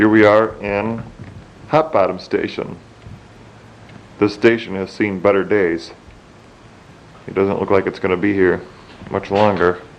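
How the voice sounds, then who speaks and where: With fairly even intonation, a man speaks at a moderate pace while noticeable background noise sits behind him. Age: 20s. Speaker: railroad enthusiast. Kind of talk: video narration. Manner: casual.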